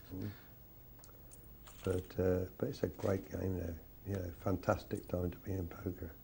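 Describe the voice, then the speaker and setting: With an English accent, a man speaks in a very deep, low voice of dark, mellow tone, somewhat breathy. His pace is moderate and his intonation fairly even, broken by long, frequent pauses. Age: 60s. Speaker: poker commentator. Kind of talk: live commentary.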